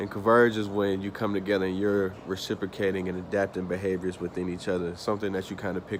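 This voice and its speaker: Talking at a very fast pace, a man keeps to a fairly low pitch. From US South (Atlanta, Georgia). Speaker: student. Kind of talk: class presentation. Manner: casual, with fillers.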